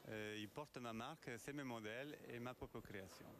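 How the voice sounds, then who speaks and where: A man talks at a moderate pace with a medium pitch. His pitch varies in an ordinary way. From Argentina, Italian family. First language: Spanish (speaking French). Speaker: leather goods designer. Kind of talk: interview. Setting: fashion show event at a theatre. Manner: halting.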